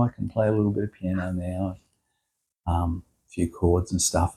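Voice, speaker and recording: Over a very clean recording with a silent background, a man speaks with an Australian accent. His tone is dark and mellow, and his pace is moderate. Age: 70s. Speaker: musician. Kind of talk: casual chat. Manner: halting, many fillers.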